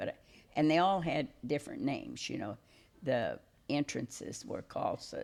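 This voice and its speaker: A woman speaks with a rural Missouri accent at a moderate pace. Her delivery has long, frequent pauses. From Missouri Lead Belt region. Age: 80s+. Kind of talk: interview answer. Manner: hesitant, many fillers.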